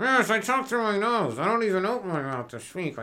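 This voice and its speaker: A put-on character voice, nasal and fairly high in pitch, moves at a fairly quick pace over light background noise. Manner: mocking, mouth barely open.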